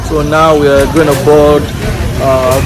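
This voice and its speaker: Moderately paced male speech against loud background noise. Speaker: travel vlogger. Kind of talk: casual vlog chat. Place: street. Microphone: phone near.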